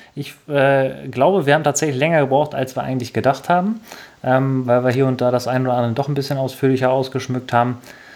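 Very fast pace with fairly even intonation. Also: man, medium pitch for a man. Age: 20s. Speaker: podcast host, gamer. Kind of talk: casual chat.

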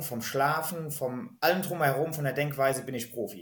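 A man with a medium-pitched voice. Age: 30s. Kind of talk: podcast interview.

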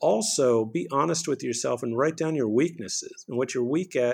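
A man with an unremarkable speaking voice talks at a medium pitch and moderate pace. His intonation is lively, and the recording is very clean with a silent background. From Texas (Houston), child of Bolivian immigrants. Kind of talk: interview.

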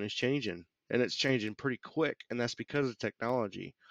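At a moderate pace and medium pitch, a man talks in a normal speaking voice with ordinary pitch variation over a quiet background. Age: 40s. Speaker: army veteran and web developer. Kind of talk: casual interview.

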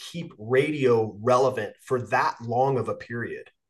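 Slow-paced and somewhat breathy, a man speaks at a fairly high pitch. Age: 50s. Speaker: podcast host, coach and Marine veteran. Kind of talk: casual interview chat. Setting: video call.

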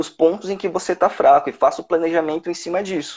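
Quiet surrounds a man with a high-pitched voice. His intonation stays fairly even. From São Paulo, Brazil. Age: 30s. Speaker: civil service exam candidate, lawyer. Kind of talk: casual interview.

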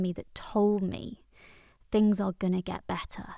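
Over a silent background in a very clean recording, a woman speaks with a fairly high pitch. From Wales. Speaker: therapist and coach. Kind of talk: solo podcast monologue.

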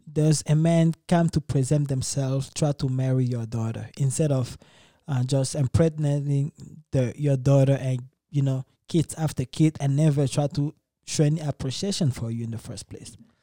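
Somewhat breathy and dark, mellow in tone, a man's fairly high voice moves at a moderate pace with ordinary pitch variation, sounding dry and close with no echo. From Democratic Republic of Congo. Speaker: podcast host. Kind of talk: casual chat.

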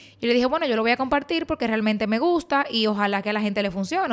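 A woman with a Dominican accent speaks at a fairly high pitch. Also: very clean recording, silent background. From Dominican Republic. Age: 20s. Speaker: beauty influencer and podcast host. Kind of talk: personal storytelling monologue.

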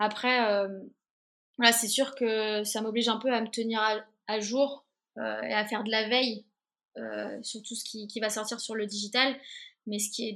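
Her fairly high voice has a bright, sharp tone and a monotone, flat delivery as this woman talks at a moderate pace with long, frequent pauses. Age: 20s. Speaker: interactive producer. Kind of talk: interview. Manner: halting, many repetitions and fillers.

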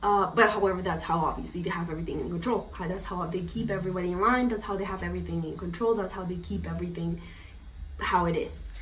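Talking at a very fast pace, a woman with a slight Colombian accent is heard with audible room echo and noticeable background noise. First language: Spanish. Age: 20s. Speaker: podcast guest. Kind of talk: interview.

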